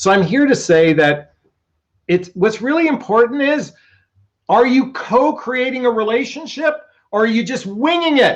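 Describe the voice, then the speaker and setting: Shouting loudly at a moderate pace, a man with an extremely high pitch uses lively intonation and long, frequent pauses. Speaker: relationship coach. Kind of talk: live stream talk. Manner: loud, yelling.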